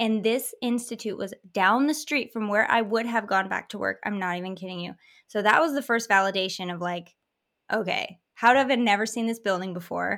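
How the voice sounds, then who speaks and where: A woman with an American accent speaks in an ordinary speaking voice at a fairly high pitch, with ordinary pitch variation. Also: fairly quick pace, very clean recording, silent background. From Michigan, US. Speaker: hypnotherapist. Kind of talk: casual interview chat.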